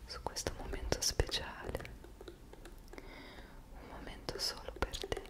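A woman's whisper, gentle in tone, at a very slow pace. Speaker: ASMR creator. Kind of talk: soft whispered ASMR roleplay. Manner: gentle, intimate whisper. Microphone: studio mic.

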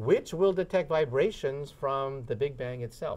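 His voice is somewhat breathy. The man's intonation moves in a lively way. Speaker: guest. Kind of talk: interview answer. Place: studio. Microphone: lapel.

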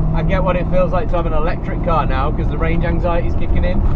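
There is loud background noise. A man is speaking. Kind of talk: casual vlog chat. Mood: light-hearted mild worry. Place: car. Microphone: camera far.

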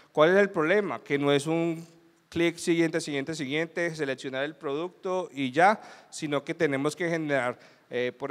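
With ordinary pitch variation, the delivery keeps to a moderate pace. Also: man. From Colombia. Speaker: security consultant, conference speaker; conference speaker. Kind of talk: conference talk. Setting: stage with audience. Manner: animated. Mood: light, humorous. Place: hall.

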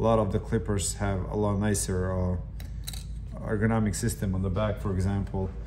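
Over clear background noise, a man talks at a fairly low pitch with little pitch movement. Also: moderate pace.

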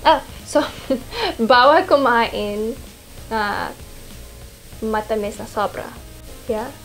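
Faint music plays in the background as a woman with a fairly high pitch speaks at a very slow pace with long, frequent pauses. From half Filipino. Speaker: model. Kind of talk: casual Q&A talk to camera. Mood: playful, animated. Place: home room.

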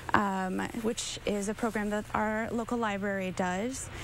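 A woman speaks fairly slowly in a monotone, flat intonation, the sound dry with no echo and light background noise behind her. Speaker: guest. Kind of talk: interview answer. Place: street.

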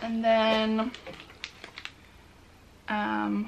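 The voice carries a bright, sharp tone, some vocal fry and ordinary pitch variation. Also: woman.

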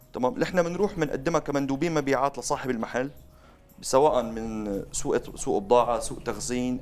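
A man's voice with ordinary pitch variation, faint music in the background. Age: 20s. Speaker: salesman, marketing expert; salesman. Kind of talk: interview. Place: studio. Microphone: lapel.

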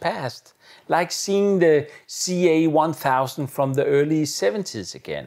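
A man talks at a fairly slow pace with lively intonation against a quiet background. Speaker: AV product reviewer. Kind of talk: review commentary. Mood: enthusiastic, admiring. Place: home room. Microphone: lapel.

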